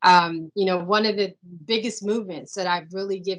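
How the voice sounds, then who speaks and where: A woman's unremarkable speaking voice, medium in pitch, with fairly even intonation and a moderate pace. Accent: American. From Washington DC area (Silver Spring, Maryland). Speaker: real estate consultant, business owner. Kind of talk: interview on video call. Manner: conversational, many fillers.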